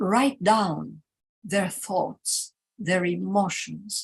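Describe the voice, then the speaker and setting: A woman speaks with a Greek accent. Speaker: teacher educator. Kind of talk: conference workshop presentation. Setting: live conference workshop.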